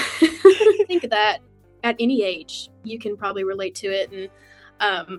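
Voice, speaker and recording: Someone speaks with a Southern US accent while music plays in the background. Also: woman. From West Tennessee, USA. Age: 20s. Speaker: country singer. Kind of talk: interview answer.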